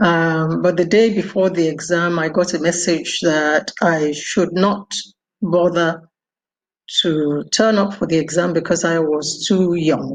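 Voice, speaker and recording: This woman speaks with a Nigerian accent at a fairly low pitch. Her intonation is fairly even and her pace fairly slow. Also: very even loudness. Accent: Nigerian (Yoruba) English. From Nigeria, Ibadan (Yoruba). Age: 70s. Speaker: doctor and former ambassador. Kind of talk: interview.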